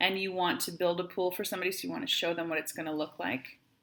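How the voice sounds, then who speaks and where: Her tone is bright and sharp. The woman talks at a very fast pace with a medium pitch. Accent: Wisconsin. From Wisconsin, US. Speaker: math teacher. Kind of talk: tutorial.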